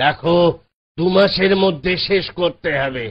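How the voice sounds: A man puts on a cartoonish character voice, pitched high, with ordinary pitch variation.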